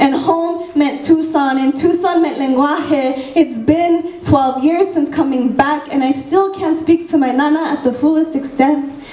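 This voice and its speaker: With audible room echo, a woman with a high voice speaks at a fairly slow pace, with fairly even intonation and very even loudness. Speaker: youth slam poet. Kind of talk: spoken word poetry performance. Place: stage.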